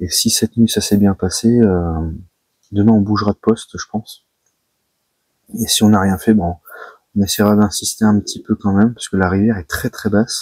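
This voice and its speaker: A soft-spoken man with a fairly low pitch talks at a moderate pace in a flat monotone. His long, frequent pauses come through in a dry, close sound with no echo. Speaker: carp angler, channel host. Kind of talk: vlog to camera. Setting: outdoors by a river at night. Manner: soft-spoken, quiet.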